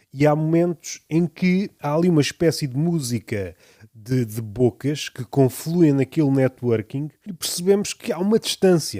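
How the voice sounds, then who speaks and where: Lively intonation marks a man's fairly high voice with a dark, mellow tone at a fairly slow pace. The sound is dry and close with no echo, on a very clean recording with a silent background. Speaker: podcaster. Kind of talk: reflective monologue. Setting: home room surrounded by poetry books.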